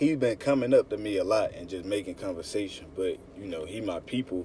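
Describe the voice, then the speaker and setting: A man's fairly low, dark, mellow voice, somewhat breathy, with ordinary pitch variation at a fairly quick pace. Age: 20s. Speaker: religious teacher. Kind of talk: sermon. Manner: animated.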